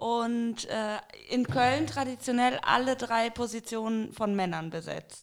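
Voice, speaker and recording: A very slow pace from a woman with a fairly high voice and ordinary pitch variation. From Rhineland, Bergisches Land. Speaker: guest. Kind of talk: casual chat.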